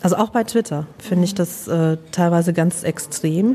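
Pitched fairly low, a woman speaks over noticeable background noise. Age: 40s. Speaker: social worker. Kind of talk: casual interview. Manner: hesitant, many fillers.

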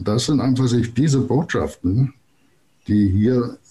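This man's voice is somewhat breathy, with a dark, mellow tone at medium pitch. He talks at a fairly slow pace. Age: 60s. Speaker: planetary code consultant. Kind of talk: interview.

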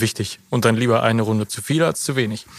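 A man with a normal speaking voice talks fairly quickly with fairly even intonation. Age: 30s. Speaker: managing director, lawyer by training. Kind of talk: interview conversation. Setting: on location at company.

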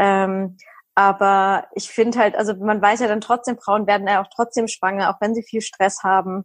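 Flat, monotone intonation from a woman, medium in pitch, moderate in pace. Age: 30s. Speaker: nutrition and hormone coach, recovered anorexia patient. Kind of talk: casual interview.

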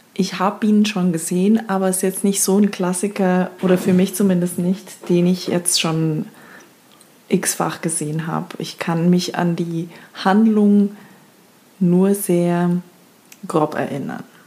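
A woman speaks at a medium pitch and a very slow pace. Her intonation is monotone and flat, with long, frequent pauses. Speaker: podcast host. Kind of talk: casual chat.

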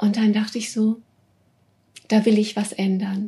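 Somewhat breathy and very slow, a woman speaks at a fairly high pitch in a dark, mellow tone. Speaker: business coach for female leaders. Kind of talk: interview. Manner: warm and cheerful.

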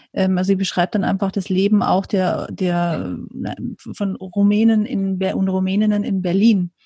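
A woman's somewhat breathy, dark, mellow voice of medium pitch, flat and monotone at a fairly slow pace, in a very clean recording with a silent background. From rural Germany, farming family. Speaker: podcast host, writer and journalist. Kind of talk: interview conversation.

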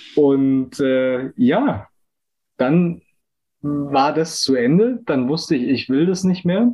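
A man at a fairly high pitch, with lively intonation, a very slow pace and long, frequent pauses. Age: 20s. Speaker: business student and agile coach. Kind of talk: casual interview chat.

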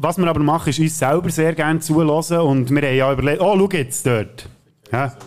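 A man speaks with a Swiss accent at a fairly quick pace, his pitch fairly high and its variation ordinary. His tone is animated and his loudness very even. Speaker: podcast co-host. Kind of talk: casual chat with joke telling.

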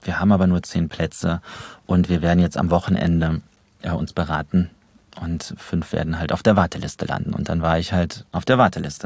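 Here a man speaks with a very deep, low pitch. His pace is fairly quick and his intonation fairly even. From Germany, Trier. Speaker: actor and voice actor. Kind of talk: casual interview chat. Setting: studio.

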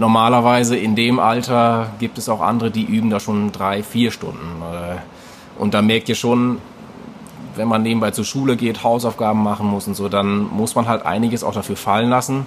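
A man speaks at a moderate pace in a medium pitch with monotone, flat intonation, over noticeable background noise. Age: 20s. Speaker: fitness coach. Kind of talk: interview conversation.

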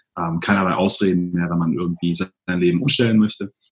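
A man's very deep, low voice at a very fast pace, with fairly even intonation and a dry, close sound with no echo. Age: 30s. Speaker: blogger and digital nomad. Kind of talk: interview.

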